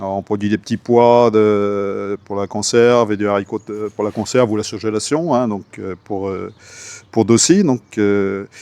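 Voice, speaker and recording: A man's fairly low, dark, mellow voice at a fairly slow pace, intonation fairly even, in a dry, close recording with no echo. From Brittany, France. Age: 60s. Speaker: farmer. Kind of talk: interview. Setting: on his farm. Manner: hesitant, many fillers.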